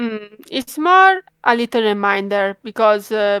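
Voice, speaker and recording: Fairly high-pitched woman with an Italian accent, very slow pace, in a dry, close sound with no echo. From Italy. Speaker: fan page creator, horror game fan. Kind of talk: interview. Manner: hesitant, many fillers.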